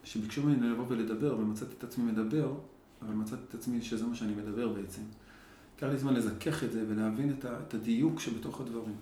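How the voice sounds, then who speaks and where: The speaker talks at a fairly quick pace with fairly even intonation. Audible room echo and noticeable background noise fill the recording. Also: man, medium pitch for a man. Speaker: grief and dialogue facilitator. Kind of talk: interview. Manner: halting.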